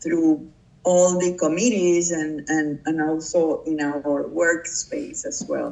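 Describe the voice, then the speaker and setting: A woman with a Puerto Rican accent, fairly low in pitch, at a very slow pace with fairly even intonation, over noticeable background noise. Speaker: public relations professional. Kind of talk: interview. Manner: halting.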